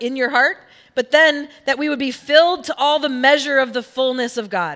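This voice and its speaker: Her voice is high, with a bright, sharp tone. The woman speaks at a moderate pace with ordinary pitch variation. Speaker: pastor. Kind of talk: sermon. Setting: church. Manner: casual, humorous.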